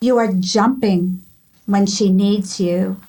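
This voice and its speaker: Somewhat breathy, a woman speaks at a very slow pace with fairly even intonation. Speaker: spiritual mentor, author, ordained minister. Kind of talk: interview answer.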